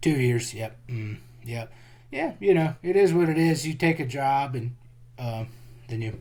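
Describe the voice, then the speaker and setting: With a strong Texas accent, a man speaks fairly slowly and somewhat breathily at a medium pitch, showing ordinary pitch variation and long, frequent pauses. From Central Texas. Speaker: geologist and jiu-jitsu practitioner. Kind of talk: casual interview chat.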